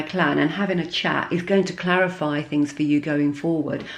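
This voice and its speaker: A woman at a moderate pace, with audible room echo. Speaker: tarot reader. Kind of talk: tarot reading. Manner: halting.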